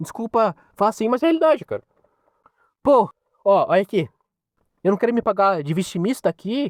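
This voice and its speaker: A man with a high pitch and an animated tone talks at a fairly quick pace, with long, frequent pauses, in a dry, close sound with no echo. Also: lively intonation. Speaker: podcaster. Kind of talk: opinion monologue.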